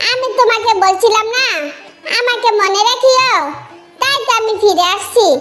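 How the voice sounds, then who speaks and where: An extremely high-pitched, cartoonish character voice moves at a moderate pace. Faint music plays in the background. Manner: teasing.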